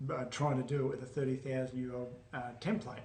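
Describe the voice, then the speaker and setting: A somewhat breathy man talks with monotone, flat intonation amid audible room echo. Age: 70s. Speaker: alkaline diet educator. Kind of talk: interview answers.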